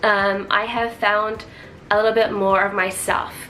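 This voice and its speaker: Against noticeable background noise and audible room echo, a woman speaks at a fairly slow pace. Her pitch sits fairly high. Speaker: vlogger. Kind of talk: casual chat.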